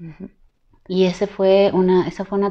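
A woman's voice comes through with a dark, mellow tone. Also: quiet background. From Ecuador. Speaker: singer; interviewee. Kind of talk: interview. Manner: halting. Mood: reflective, personal. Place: home room. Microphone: lapel.

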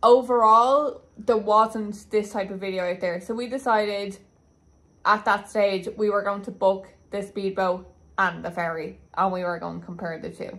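Fairly even intonation accompanies a moderate pace. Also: woman. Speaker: travel vlogger. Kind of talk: casual vlog chat. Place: home room. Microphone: phone near.

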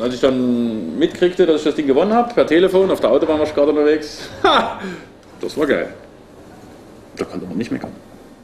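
Over light background noise, a man speaks at a very fast pace with very wide pitch swings. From Leipzig, Saxony, eastern Germany; Saxony, Germany. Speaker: painter and artist. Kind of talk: casual interview talk.

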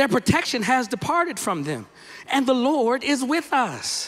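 A man's extremely high voice, lively in intonation and animated in tone. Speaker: guest preacher, minister. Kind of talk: sermon delivered to a congregation. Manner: animated, emphatic, rhythmic repetition. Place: church. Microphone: handheld.

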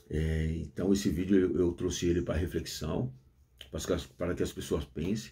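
A man's dark, mellow, somewhat breathy voice against a quiet background. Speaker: former prisoner, YouTuber. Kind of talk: casual monologue. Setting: at home with coffee. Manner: deliberately restrained slang, effortful. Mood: earnest, reflective. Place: office. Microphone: phone near.

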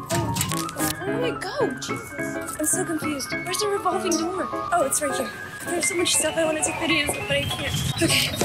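A woman speaking at a fairly quick pace over loud background music. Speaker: vlogger. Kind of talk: casual vlog talk to camera. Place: street. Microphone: phone near.

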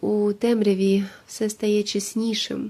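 Soft-spoken and calm in tone, a woman with a fairly high pitch is heard on a very clean recording with a silent background. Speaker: meditation guide. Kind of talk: meditative monologue for sleep. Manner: calm, quiet; slow, soft-spoken.

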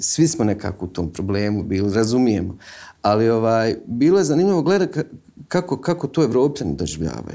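A man speaks at a fairly quick pace in a dark, mellow tone, his pitch swinging very widely. The background is quiet. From Visoko, Bosnia and Herzegovina; Bosnia and Herzegovina. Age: 30s. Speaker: film director; guest. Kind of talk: interview; interview answer. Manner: halting. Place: studio.

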